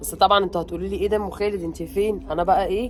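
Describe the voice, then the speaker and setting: Medium-pitched female speech over background music. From Egypt, Alexandria. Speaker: family vlogger. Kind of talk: casual vlog chat. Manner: animated.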